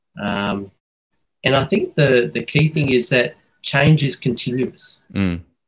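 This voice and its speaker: A man with an Australian accent talks at medium pitch with ordinary pitch variation. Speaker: supply chain specialist, air force officer. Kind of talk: interview podcast. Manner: halting, many fillers.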